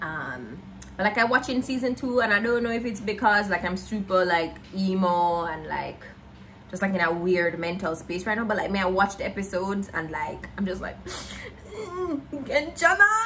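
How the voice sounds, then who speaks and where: Faint music plays in the background. A woman speaks at a medium pitch and a moderate pace. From Jamaica. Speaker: lifestyle vlogger. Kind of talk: casual vlog talk to camera. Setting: at home. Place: home room.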